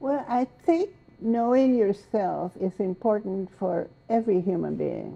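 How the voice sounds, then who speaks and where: A woman with a Spanish accent. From Mexico. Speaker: poet and essayist. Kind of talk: interview.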